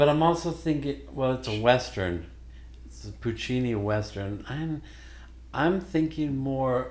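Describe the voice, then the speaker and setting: A man with an American accent at a fairly slow pace, big swings in loudness and audible room echo. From Missouri, Joplin. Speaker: singer. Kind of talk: casual chat.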